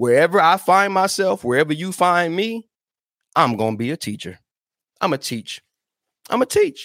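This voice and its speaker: A man with a high pitch talks in an animated tone, using very wide pitch swings and long, frequent pauses. The recording is very clean, with a silent background and a dry, close sound without echo. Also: moderate pace. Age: 40s. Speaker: podcast host and self-worth speaker. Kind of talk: motivational talk. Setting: live stream.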